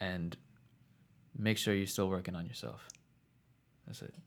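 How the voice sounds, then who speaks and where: A man with a very deep, low-pitched voice. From New Jersey, born in Queens, New York. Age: 20s. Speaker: R&B singer and rapper. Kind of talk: interview, casual chat.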